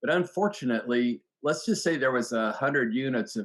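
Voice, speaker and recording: A man talks at moderate speed in a plain, everyday voice of medium pitch. His intonation is lively. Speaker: economist. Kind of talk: interview.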